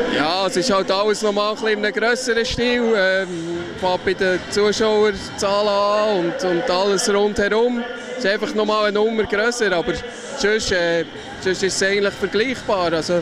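There is noticeable background noise, and the sound is dry with no echo. A man with a Swiss accent talks at a high pitch and moderate pace, with fairly even intonation. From Switzerland. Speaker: floorball player. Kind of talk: interview answer. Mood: relaxed, positive. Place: hall. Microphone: handheld.

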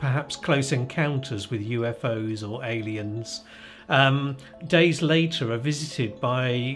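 A man talks at a fairly slow pace with ordinary pitch variation. Faint music plays in the background. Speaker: interviewee. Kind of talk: interview answer. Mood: amused, relaxed storytelling. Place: home room.

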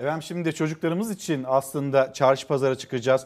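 A man with a plain, everyday voice, fairly high pitch, ordinary pitch variation and a moderate pace. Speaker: morning news TV host. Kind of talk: morning news show. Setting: TV studio. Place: studio. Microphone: lapel.

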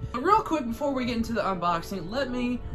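Clear music plays in the background as a man talks at a fairly quick pace. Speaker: prop reviewer. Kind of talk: casual vlog chat. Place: home room. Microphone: phone near.

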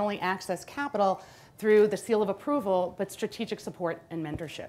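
A woman is speaking. Her pace is very fast. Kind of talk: panel discussion.

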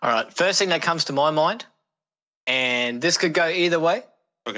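Speaking at a moderate pace with an Australian accent, a man has a fairly high pitch, a bright, sharp tone and lively intonation. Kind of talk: casual chat. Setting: video call.

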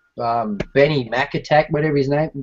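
A man with an Australian accent, over light background noise. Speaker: scale model builder, live stream host; live stream host. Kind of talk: casual chat. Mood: relaxed, laughing, chatty. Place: home room. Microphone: webcam.

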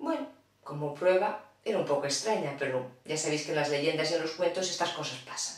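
A woman talks at a fairly quick pace with lively intonation. Her pitch is low.

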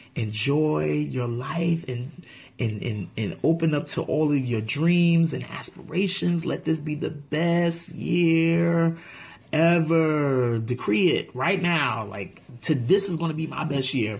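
He speaks at a very slow pace with ordinary pitch variation. This man's pitch is fairly high. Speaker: food YouTube channel co-host. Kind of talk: casual thank-you message to viewers. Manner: excitable.

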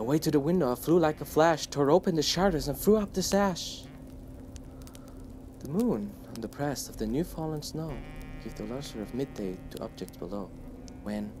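Music plays in the background as the speech moves at a moderate pace with long, frequent pauses. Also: man, fairly high pitch for a man. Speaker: channel host reading a poem aloud. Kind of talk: poetry reading. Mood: warm, lively storytelling. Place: home room.

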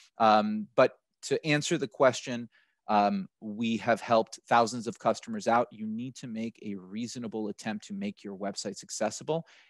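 A man with an American accent at a moderate pace, ordinary pitch variation and big swings in loudness, in a dry sound with no echo and a quiet background. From United States. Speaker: accessibility software partner manager; panelist. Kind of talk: panel webinar discussion. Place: home room. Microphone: headset.

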